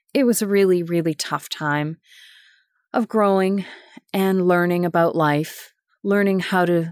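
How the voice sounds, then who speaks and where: A woman with a normal speaking voice talks at a fairly slow pace with a fairly low pitch. The recording is very clean and dry, close with no echo, over a silent background. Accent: Canadian. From Winnipeg, Manitoba, Canada. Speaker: podcast host, sustainability professional. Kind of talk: personal storytelling monologue.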